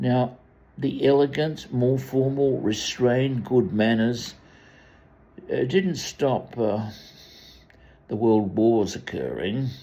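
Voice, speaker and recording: A man with an Australian accent speaks at a very slow pace in a medium pitch, with a dark, mellow tone. His pitch varies in an ordinary way, and long, frequent pauses break up his speech. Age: 80s+. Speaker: commentator. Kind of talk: monologue. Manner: halting.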